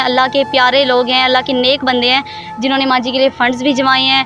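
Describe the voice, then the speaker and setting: With music playing in the background, a woman talks at a high pitch in a monotone, flat intonation. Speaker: TV anchor / field reporter. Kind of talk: TV field report to camera.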